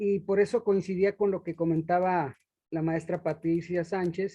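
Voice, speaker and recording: A man's high-pitched, dark and mellow voice, fairly slow, with fairly even intonation. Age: 60s. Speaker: roundtable panelist. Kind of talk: panel discussion.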